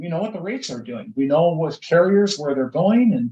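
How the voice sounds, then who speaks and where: A man talks with a Minnesotan accent. His pitch swings very widely. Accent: Minnesota. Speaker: insurance broker. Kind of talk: casual interview.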